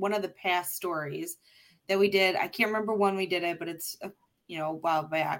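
A woman with a normal speaking voice and ordinary pitch variation is heard on a very clean recording with a silent background. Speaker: podcast co-host sharing fun facts. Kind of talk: casual chat.

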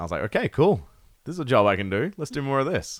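A man with an Australian accent talks at a fairly quick pace with lively intonation, on a very clean recording with a silent background. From Perth, Western Australia. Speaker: metal musician. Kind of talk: casual chat.

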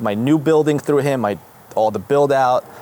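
A man speaks at a moderate pace. There is noticeable background noise behind him. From Israel, Jerusalem. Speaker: dentist. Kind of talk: casual interview chat.

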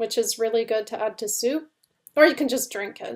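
A woman talks with lively intonation in a Canadian accent. The recording is very clean, with a silent background. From Canada. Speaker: cookbook author and blogger. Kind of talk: interview.

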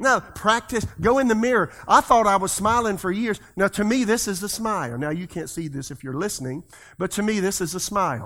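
A man with a bright, sharp tone and a high pitch, fairly quick with hardly any pauses and lively intonation, in a very clean recording with a silent background. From South Carolina. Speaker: pastor. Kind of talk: sermon. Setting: church.

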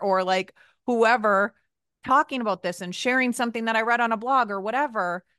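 An unremarkable speaking voice from a woman, lively in intonation, at a moderate pace, with a dry, close sound and no echo. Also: quiet background. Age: 30s. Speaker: podcast host. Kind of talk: casual chat.

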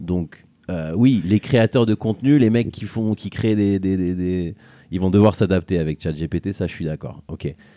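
A man speaks at a moderate pace in a very deep, low pitch with ordinary pitch variation. His tone is dark and mellow, on a very clean recording with a silent background. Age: 30s. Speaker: podcast host. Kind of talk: casual conversation. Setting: outdoors on a beach.

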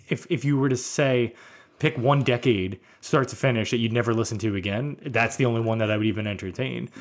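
With an American accent, a man has an unremarkable speaking voice at medium pitch. He talks at a fairly quick pace with ordinary pitch variation. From US Northeast (Brooklyn, New York). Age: 40s. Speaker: podcast host. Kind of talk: casual chat.

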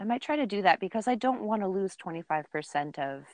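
A woman with an unremarkable speaking voice talks at a moderate pace with lively intonation, the sound dry and close with no echo over a quiet background. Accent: Canadian. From Ontario, Canada. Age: 30s. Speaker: outdoor podcast host. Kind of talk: casual chat.

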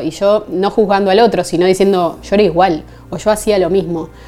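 The speech comes at a fairly quick pace with fairly even intonation, over noticeable background noise. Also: woman. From Argentina, Buenos Aires. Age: 30s. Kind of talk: testimony.

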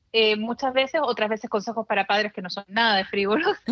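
The sound is dry and close with no echo as a woman speaks with ordinary pitch variation. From Chile. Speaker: journalist and blogger. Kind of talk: interview conversation.

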